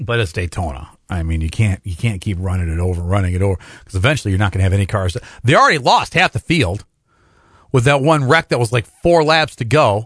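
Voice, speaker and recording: A man with a Midwestern US accent talks very fast in an energetic tone, his pitch swinging very widely. The sound is dry and close with no echo, over a quiet background. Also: fairly low pitch for a man. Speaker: radio sports talk host. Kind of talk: live sports talk radio show. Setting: studio. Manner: casual, conversational, energetic.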